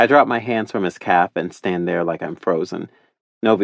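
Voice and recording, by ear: The voice reads aloud in a natural way with ordinary pitch variation. The background is quiet.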